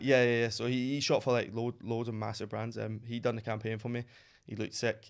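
A man speaks with a Glasgow accent at a fairly quick pace. The background is quiet. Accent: Scottish (Glasgow). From Glasgow, Scotland. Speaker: streetwear brand founder, former model. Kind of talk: podcast interview answer. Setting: studio. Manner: casual, excited. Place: studio. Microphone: studio mic.

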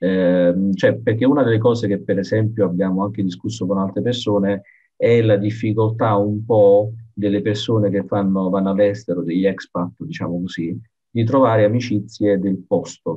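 At a moderate pace, a man with an ordinary speaking voice talks at a fairly low pitch with fairly even intonation against a quiet background. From Italy. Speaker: podcast host. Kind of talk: casual interview. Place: home room. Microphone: video call.

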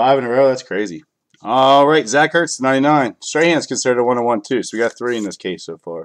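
With a normal speaking voice of medium pitch, a man talks at a fairly quick pace with lively intonation against a quiet background. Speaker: card breaker. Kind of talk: live sales stream. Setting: live video stream. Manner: casual, chatty.

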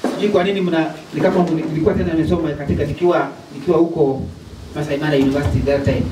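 Over noticeable background noise, a man with a fairly high pitch talks at a very fast pace. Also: ordinary pitch variation. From Kenya. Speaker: preacher. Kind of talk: sermon-style motivational address to a student rally, with call-and-response. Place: classroom.

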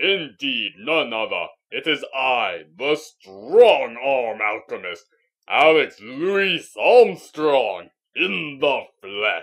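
At a very slow pace, a man performs a put-on character voice at medium pitch. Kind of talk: character audition reel. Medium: voice reel. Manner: grandiose, theatrical.

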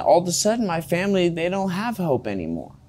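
A man with a Californian accent, fairly high in pitch, with very wide pitch swings. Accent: Californian American English. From California, Fresno. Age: 20s. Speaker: recovering drug addict interviewee; interviewee. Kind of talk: interview, personal life story. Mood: rueful, candid, emotional. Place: studio. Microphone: lapel.

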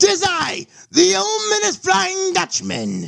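This is a put-on character voice. The delivery moves at a fairly slow pace. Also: man.

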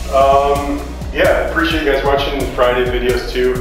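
There is strong room echo and noticeable background noise. A man speaks at a moderate pace. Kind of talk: casual vlog chat. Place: workshop. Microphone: camera far.

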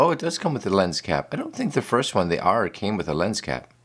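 Vocal fry runs through this man's voice. He talks very fast. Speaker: vlogger. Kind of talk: casual vlog. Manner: halting, repeats words. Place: studio.

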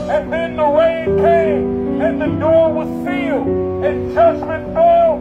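Over loud background music, a man is talking. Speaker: street preacher. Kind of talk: sermon. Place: street. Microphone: pa.

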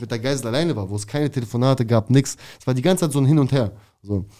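The speaker is a man with ordinary pitch variation. The background is quiet. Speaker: former prisoner. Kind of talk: casual interview storytelling. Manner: fast. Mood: animated storytelling. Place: studio. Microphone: studio mic.

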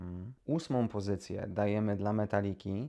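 Against a quiet background, a man speaks in a fairly low pitch. His pitch variation is ordinary. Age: 30s. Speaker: YouTuber. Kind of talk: casual monologue to camera. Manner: hesitant, with many repetitions.

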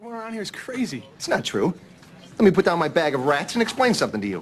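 A man puts on a character voice, fairly high-pitched with a slightly husky edge. He talks fast, and his pitch swings very widely.

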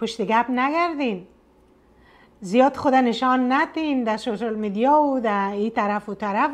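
At a moderate pace, a woman with an Afghan accent speaks in a high voice with ordinary pitch variation. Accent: Afghan Dari. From northern Afghanistan, Mazar-i-Sharif region; Afghanistan. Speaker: storytelling video blogger. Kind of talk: story narration with commentary. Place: home room.

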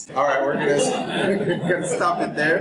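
Noticeable background noise fills the recording. Through it, a man talks. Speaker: presenter. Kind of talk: lecture. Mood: jokey, relaxed. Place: classroom. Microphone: camera far.

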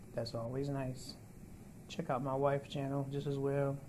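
A man's somewhat breathy voice, dark and mellow in tone, monotone and flat, with noticeable background noise. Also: moderate pace. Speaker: vlogger. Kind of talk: casual vlog chat. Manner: weak, breathy patient voice. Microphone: phone near.

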